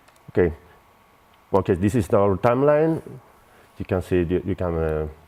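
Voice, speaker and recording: Speaking with a Spanish accent, a man uses a very deep, low voice with a dark, mellow tone, lively intonation and a moderate pace. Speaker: software company representative. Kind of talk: product demo. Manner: halting.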